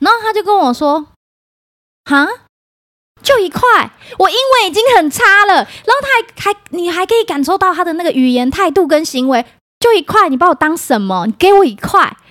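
Speaking with a Taiwanese accent, this voice moves at a fairly quick pace in an animated tone, with very wide pitch swings and long, frequent pauses. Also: woman, extremely high pitch for a woman. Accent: Taiwanese Mandarin. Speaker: podcast host. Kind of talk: casual chat.

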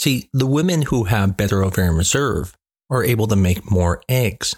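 A man with an American accent, a plain, everyday voice, lively intonation and a moderate pace, in a very clean recording over a silent background. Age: 40s. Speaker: fertility doctor. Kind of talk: educational monologue.

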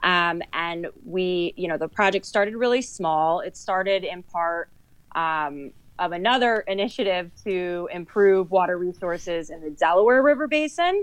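A woman's fairly low voice, a plain, everyday voice with ordinary pitch variation, over a quiet background. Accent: American. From New Jersey, Sussex County. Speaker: conservation coordinator. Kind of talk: podcast interview.

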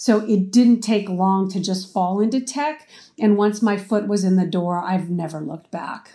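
Speaking with an American accent, a woman uses a dark, mellow tone at medium pitch, with ordinary pitch variation and a moderate pace, on a very clean recording with a silent background. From Arizona, US. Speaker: marketing executive. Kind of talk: interview.

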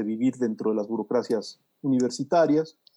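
A man's voice with a dark, mellow tone. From Mexico City. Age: 50s. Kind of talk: casual interview.

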